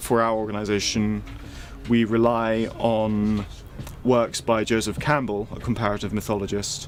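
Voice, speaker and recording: This man has a fairly low pitch and fairly even intonation. He keeps a moderate pace against noticeable background noise. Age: 20s. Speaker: member of a religious group. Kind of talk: interview.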